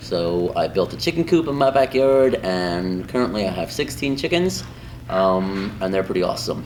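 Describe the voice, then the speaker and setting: Against noticeable background noise, a man with a fairly low pitch talks at a moderate pace with lively intonation. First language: Spanish. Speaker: high school Spanish teacher. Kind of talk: interview answers. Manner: casual, many filler ums.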